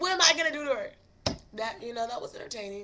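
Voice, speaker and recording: Pitch swings very widely in this woman's speech. She uses a raised, projected voice. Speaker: podcast host. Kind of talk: casual chat. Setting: live stream.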